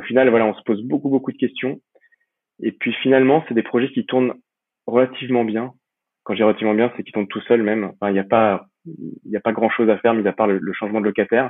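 Big swings in loudness mark this man's very fast delivery, set at a medium pitch with ordinary pitch variation. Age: 30s. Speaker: real estate investor and entrepreneur. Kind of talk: interview. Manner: halting, many repetitions and fillers.

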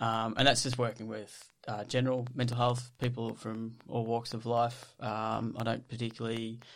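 Here a man speaks with an Australian accent at a medium pitch. His intonation is monotone and flat. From Australia, Victoria (Ballarat). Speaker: psychologist and ultra trail runner. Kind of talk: casual interview.

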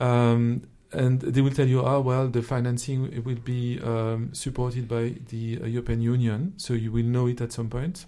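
Moderate pace and hardly any pauses from a man with a French accent, a medium pitch, a dark, mellow tone and fairly even intonation. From France. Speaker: investment officer, former social entrepreneur. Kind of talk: interview conversation.

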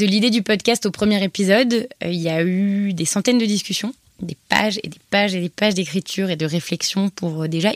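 A woman's medium-pitched voice at a fairly quick pace, with ordinary pitch variation and a dry, close sound with no echo. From France, Paris. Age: 20s. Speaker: author and podcaster. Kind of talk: personal testimony interview. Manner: hesitant, many repetitions and fillers.

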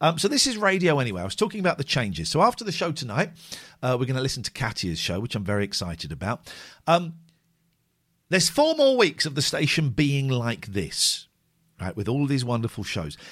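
Animated and fairly quick, a man's voice swings very widely in pitch and shows vocal fry. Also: fairly high pitch for a man. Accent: British. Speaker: phone-in radio host. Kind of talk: live phone-in radio show, comedic chat. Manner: animated, joking.

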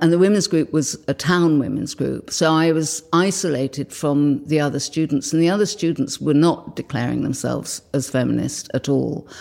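The voice moves at a moderate pace with hardly any pauses. It carries vocal fry and ordinary pitch variation. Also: woman, very deep, low pitch for a woman. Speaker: slide library founder. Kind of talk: interview recollection.

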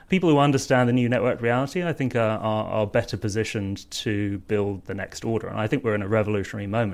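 A man with a southern English accent, fairly low-pitched, talking at a very fast pace. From southern England, Surrey. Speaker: online political campaign co-founder. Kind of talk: panel discussion.

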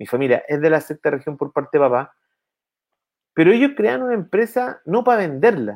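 A man with a Chilean accent talks at a fairly quick pace in a fairly high voice that swings very widely in pitch. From Chile, O'Higgins region. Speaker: entrepreneur and innovation consultant. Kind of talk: casual interview. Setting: video call from home office.

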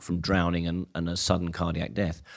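A man's very deep, low voice, monotone and flat, on a very clean recording with a silent background. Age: 60s. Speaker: physiology professor. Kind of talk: interview. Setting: staff room at a lido.

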